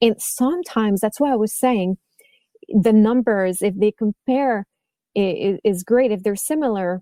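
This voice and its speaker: In a French-Canadian accent, a woman speaks with a fairly high pitch, a dark, mellow tone and ordinary pitch variation, recorded with a dry, close sound and no echo. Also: moderate pace. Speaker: violin teacher and podcast host. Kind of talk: interview conversation. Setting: podcast interview.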